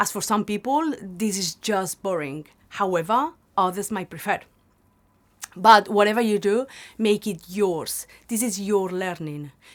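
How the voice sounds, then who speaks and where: Her pace is fairly slow, with a strong Spanish accent. This woman's pitch is medium, with ordinary variation. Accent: Spanish accent, quite prominent. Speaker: language teacher. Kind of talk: tutorial.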